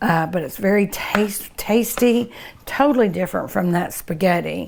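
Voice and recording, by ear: Speaking at a moderate pace, a woman uses a fairly low pitch and a slightly mellow tone, with vocal fry and ordinary pitch variation.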